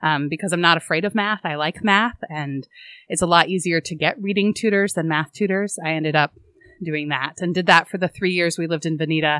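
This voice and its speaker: Recorded very cleanly against a silent background, the sound is dry and close with no echo. A woman with an American accent speaks fairly quickly in a bright, sharp tone, fairly low in pitch with ordinary pitch variation. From Oregon. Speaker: school board chair. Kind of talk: interview.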